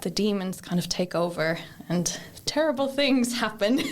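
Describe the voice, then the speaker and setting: A woman with an Irish accent speaks with ordinary pitch variation. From Ireland, County Kildare. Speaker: library apprentice. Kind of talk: book review in casual chat. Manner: hesitant, many fillers.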